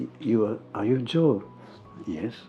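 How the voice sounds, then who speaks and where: Over music in the background, a man speaks with a Japanese accent. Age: 70s. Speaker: photographer. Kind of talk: interview. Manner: halting.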